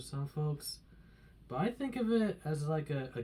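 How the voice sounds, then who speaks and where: This man has a fairly high pitch and a dark, mellow tone that is somewhat breathy. He talks at a moderate pace. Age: 30s. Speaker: shopping cart collector and customer assistant. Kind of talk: audition tape talk to camera.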